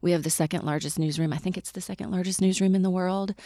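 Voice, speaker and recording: A woman with an American accent, dark and mellow in tone, fairly even in intonation, recorded dry and close with no echo, over a completely silent background. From US South, Mississippi. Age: 40s. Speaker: media executive. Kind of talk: casual interview.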